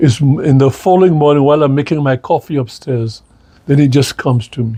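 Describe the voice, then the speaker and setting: Speaking at a very fast pace, a man has a fairly high, somewhat breathy voice with a dark, mellow tone and fairly even intonation. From Saint Lucia, rural village. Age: 80s+. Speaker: retired politician. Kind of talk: interview. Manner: halting, repetitive.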